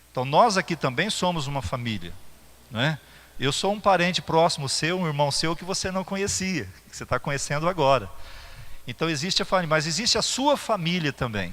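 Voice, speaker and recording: A man talks with vocal fry and lively intonation. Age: 60s. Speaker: pastor. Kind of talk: sermon. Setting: church. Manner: halting, with fillers and repetitions.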